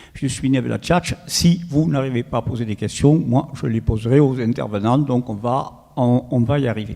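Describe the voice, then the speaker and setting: With a southern French accent, a man speaks at a medium pitch with ordinary pitch variation and hardly any pauses. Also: moderate pace. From southern France, Toulouse. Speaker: professor of sports medicine, panel moderator. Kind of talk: round-table moderation. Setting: panel discussion with live audience.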